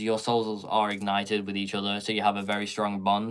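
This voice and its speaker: Speaking very fast, a man with a Swedish accent talks in a fairly low pitch. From Sweden. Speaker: tarot reader. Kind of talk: live tarot reading Q&A. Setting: live stream.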